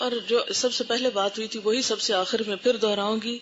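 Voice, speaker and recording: A plain, everyday voice from a woman, fairly high in pitch. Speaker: Islamic scholar giving a lecture. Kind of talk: religious lecture to an audience. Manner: teaching, question-and-answer style with the audience.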